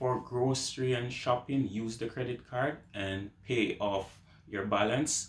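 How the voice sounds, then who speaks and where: Somewhat breathy, a man with a Jamaican accent speaks at a fairly slow pace. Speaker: YouTuber. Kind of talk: advice vlog. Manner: casual.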